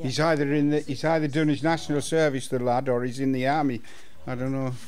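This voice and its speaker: In a room with audible echo, a man with a fairly high voice speaks at a moderate pace with fairly even intonation. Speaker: local history club member. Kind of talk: reminiscence group chat.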